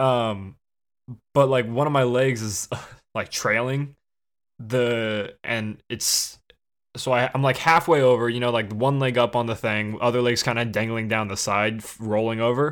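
A man speaks fairly slowly with an American accent, in a plain, everyday voice. The recording is very clean, with a silent background. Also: medium pitch for a man, fairly even intonation. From Illinois, near Chicago, then Texas. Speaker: podcast co-host. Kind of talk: casual chat.

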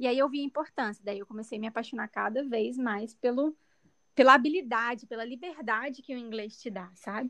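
The woman has a high pitch with ordinary pitch variation and big swings in loudness. She goes at a fairly quick pace over a quiet background. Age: 20s. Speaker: physiotherapist and conversation group facilitator. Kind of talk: interview.

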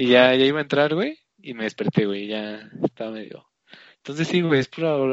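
A man with an unremarkable speaking voice keeps a medium pitch, varies it in an ordinary way and talks at a moderate pace. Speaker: podcast co-host. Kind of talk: casual chat.

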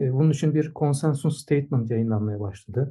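A man speaks at a very fast pace. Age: 50s. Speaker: swimming coach and sports science professor. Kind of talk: interview. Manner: hesitant, many filler sounds.

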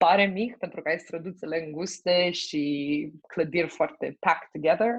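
The pitch varies in an ordinary way as a plain, everyday voice moves along at a fairly slow pace. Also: woman, fairly low pitch for a woman. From Romania. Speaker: logistics manager. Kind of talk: interview.

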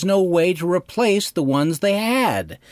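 A man with an American accent at a fairly slow pace, his pitch swinging very widely, in a very clean recording with a silent background. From Wyoming, US. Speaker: podcast host. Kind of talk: scripted narration.

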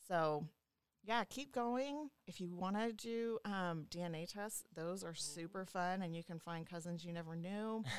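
A woman with a normal speaking voice, ordinary pitch variation and a fairly slow pace. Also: medium pitch for a woman. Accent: American. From Louisiana, US South. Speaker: genealogist. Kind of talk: casual interview chat.

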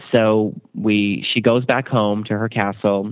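A man with an ordinary speaking voice talks in a fairly low pitch with fairly even intonation. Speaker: TV show host. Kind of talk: casual chat. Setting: studio.

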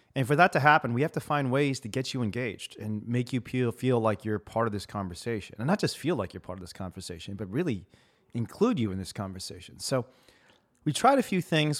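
A man with a Midwestern accent at a fairly quick pace, medium pitch and lively intonation, on a very clean recording with a silent background. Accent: American, Midwest. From US, Chicago. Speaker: podcast host, activist. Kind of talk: interview, casual chat.

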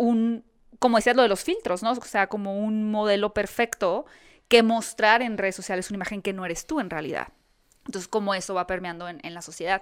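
In a normal speaking voice, a woman talks at a fairly quick pace with medium pitch, ordinary pitch variation and big swings in loudness, on a very clean recording with a silent background. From Mexico, Hermosillo (Sonora). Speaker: interviewer and video creator. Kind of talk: casual chat.

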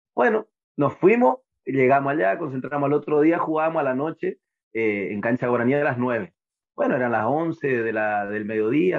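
Talking at a fairly quick pace with lively intonation, a man of medium pitch has a normal speaking voice. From Corrientes, northeastern Argentina. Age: 30s. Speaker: lower-division footballer. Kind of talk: casual interview.

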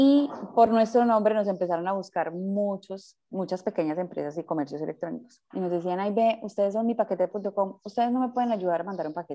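A woman speaks at a fairly quick pace with hardly any pauses, her dark, mellow tone sitting at a medium pitch with ordinary pitch variation against a quiet background. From Colombia, Medellín. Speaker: startup founder. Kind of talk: interview.

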